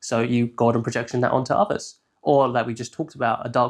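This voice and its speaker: A man with an English accent talks at a fairly quick pace against a quiet background. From southern England. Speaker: shadow work consultant. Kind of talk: tutorial. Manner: casual, filler-heavy.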